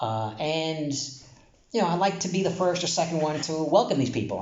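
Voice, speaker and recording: A man with an American accent speaks in a high pitch with lively intonation, with audible room echo and noticeable background noise. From New York, Brooklyn. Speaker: Torah teacher. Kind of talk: casual Torah talk. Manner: casual, halting with fillers.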